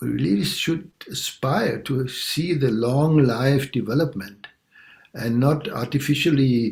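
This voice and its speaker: The delivery is very slow and somewhat breathy. Pitch varies in an ordinary way. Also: man. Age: 60s. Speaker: longtime meditation practitioner. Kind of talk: personal sharing in group talk. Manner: halting, many fillers.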